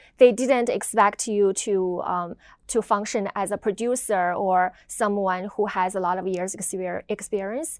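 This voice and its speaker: On a very clean recording with a silent background, a woman with a Chinese accent speaks at medium pitch and a moderate pace with fairly even intonation. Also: big swings in loudness. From China. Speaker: video editor. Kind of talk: interview. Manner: hesitant, many fillers.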